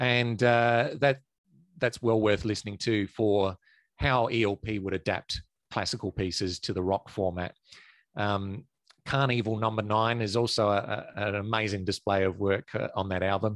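Speaking in an Australian accent, a man uses a fairly low pitch, fairly even intonation and a moderate pace. The sound is dry and close with no echo, over a quiet background. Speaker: prog rock enthusiast, former band merch and label assistant. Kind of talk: casual discussion.

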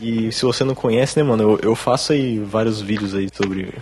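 There is noticeable background noise behind this man. His pitch is fairly low and his intonation fairly even. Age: 20s. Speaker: beatmaker and YouTuber. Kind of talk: casual chat. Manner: casual slangy speech.

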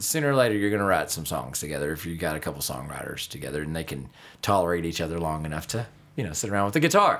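Very fast and lively, a man speaks in a very deep, low voice. He has a Texas accent. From North Texas (Denison area). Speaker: country musician and songwriter. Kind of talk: casual interview. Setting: on-location recording at a music venue.

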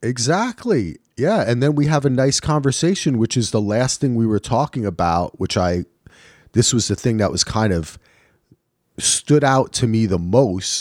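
On a very clean recording with a silent background and a dry, close sound with no echo, a man speaks in a normal speaking voice. His pitch is medium, his intonation lively, his pace moderate and his loudness very even. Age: 50s. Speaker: podcast co-host. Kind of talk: casual chat.

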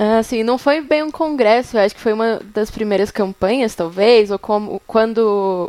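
A woman with a plain, everyday voice talks at a moderate pace with ordinary pitch variation. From São Paulo, Brazil. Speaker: journalism student, faith project organizer. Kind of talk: casual chat.

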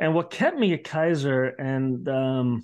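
A man with an Italian accent against a quiet background. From Bologna, Italy. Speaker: orthopedic surgeon and professor. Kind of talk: casual interview chat.

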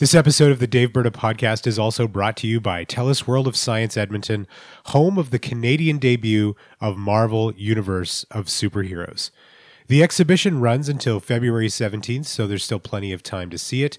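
A man's voice at medium pitch, an ordinary speaking voice with ordinary pitch variation, at a fairly quick pace, on a very clean recording with a silent background. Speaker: podcast producer. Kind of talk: ad read.

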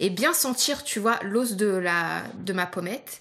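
A woman's medium-pitched voice with a bright, sharp tone and ordinary pitch variation. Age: 30s. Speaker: visually impaired makeup podcast co-host. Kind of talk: scripted casual chat, makeup tutorial.

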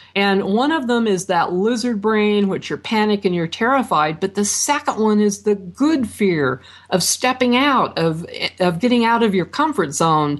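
With an American accent, a woman speaks at a moderate pace with lively intonation and very even loudness. She has a normal speaking voice. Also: medium pitch for a woman. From Idaho, US. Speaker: author and networking expert. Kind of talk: interview.

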